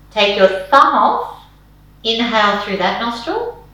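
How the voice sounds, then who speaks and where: A woman at a very slow pace, calm in tone yet lively in intonation, with audible room echo. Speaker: yoga and meditation teacher. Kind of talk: guided meditation.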